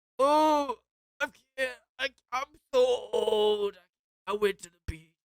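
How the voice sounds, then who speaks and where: A woman puts on a high-pitched character voice. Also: fairly slow pace. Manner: complaining, wheezy.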